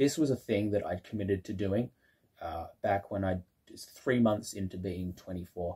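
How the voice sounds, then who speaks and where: A man with a fairly low, somewhat breathy voice and a dark, mellow tone talks at a moderate pace with ordinary pitch variation. His loudness swings widely against a quiet background. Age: 20s. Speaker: YouTuber exploring waterways; channel host. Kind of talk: casual vlog announcement. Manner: hesitant with many fillers. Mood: proud, reflective. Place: home room. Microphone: phone near.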